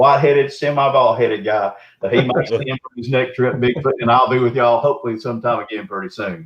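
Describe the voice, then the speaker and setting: A man with a Southern US accent speaks at a fairly quick pace in a medium, somewhat breathy voice. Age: 60s. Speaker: Bigfoot researcher. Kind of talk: casual chat. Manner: animated.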